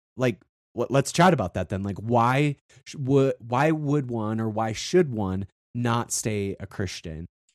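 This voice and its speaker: Speaking with an American accent, a man with an unremarkable speaking voice talks fairly slowly at medium pitch with lively intonation, the sound dry and close with no echo over a quiet background. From South Dakota, US. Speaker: podcast host. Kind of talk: casual interview chat.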